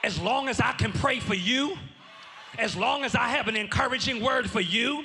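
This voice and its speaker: An extremely high-pitched man uses a raised, projected voice in an animated tone, keeping very even loudness and ordinary pitch variation at a moderate pace. Noticeable background noise and audible room echo are present. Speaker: pastor. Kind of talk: sermon. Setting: church.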